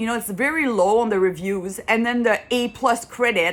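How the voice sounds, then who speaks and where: A woman with a French accent speaks at a fairly high pitch. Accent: French accent, lasting. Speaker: consumer vlogger. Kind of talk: casual vlog monologue. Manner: halting, with repetitions and fillers.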